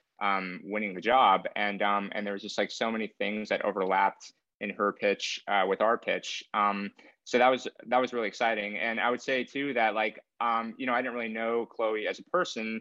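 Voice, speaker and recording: In a normal speaking voice, a man with an American accent talks at a moderate pace. His pitch is medium and his intonation fairly even. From US, San Francisco Bay Area (Benicia, East Bay). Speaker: screenwriter. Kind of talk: interview.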